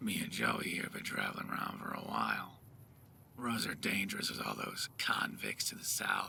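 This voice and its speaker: A man puts on a raspy, gravelly character voice and delivers it at a fairly slow pace. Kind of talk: video game mod voice acting. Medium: solo performance. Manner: blunt, drawling, tired.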